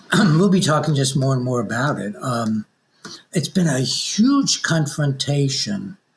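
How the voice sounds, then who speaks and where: With a somewhat breathy, fairly high voice, a man speaks at a fairly slow pace and with lively intonation. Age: 80s+. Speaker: author. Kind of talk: interview. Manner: halting.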